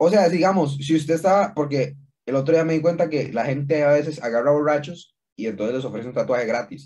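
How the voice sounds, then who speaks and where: Speaking at a fairly quick pace, a man has a fairly high pitch and a dark, mellow tone. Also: ordinary pitch variation. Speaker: podcast co-host. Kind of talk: casual chat.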